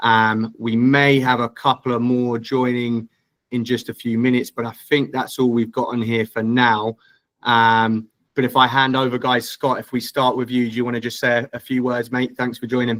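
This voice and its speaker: A man with an English accent and medium pitch talks at a moderate pace in a monotone, flat intonation, with a dry, close sound and no echo. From England. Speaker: recruitment director, webinar host. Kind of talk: webinar Q&A hosting. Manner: casual, filler-heavy.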